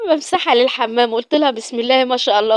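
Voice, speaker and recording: With an Egyptian accent, a woman speaks at a high pitch and a moderate pace. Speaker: vlogger. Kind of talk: casual vlog. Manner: halting.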